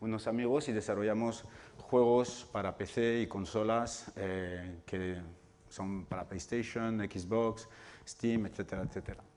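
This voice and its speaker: A man talks with a non-native accent at a fairly low pitch. His pace is fairly slow and his intonation fairly even. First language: not Spanish (speaking Spanish). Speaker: video game developer and lecturer. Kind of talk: public talk. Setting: hall with live audience. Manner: hesitant, with fillers.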